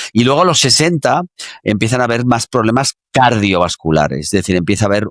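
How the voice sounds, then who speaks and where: A man's fairly low voice in a dry, close sound with no echo. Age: 60s. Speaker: exercise science expert. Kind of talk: interview. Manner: halting, many fillers.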